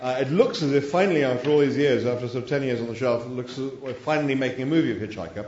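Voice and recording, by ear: Text is read aloud in a natural voice. Intonation remains fairly even.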